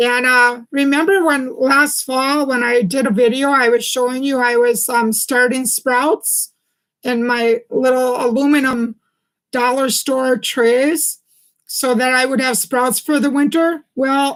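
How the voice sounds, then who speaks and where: The speech is fairly slow, with fairly even intonation and very even loudness. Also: woman, high pitch for a woman. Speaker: herbal health livestreamer. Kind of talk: live stream chat. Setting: live stream. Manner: halting with many ums.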